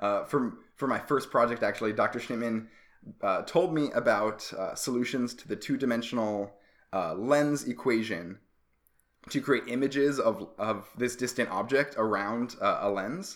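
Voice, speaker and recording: An ordinary speaking voice moves at a fairly slow pace with ordinary pitch variation. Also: man, medium pitch for a man. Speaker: astronomy PhD student and podcast host. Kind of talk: casual conversational podcast.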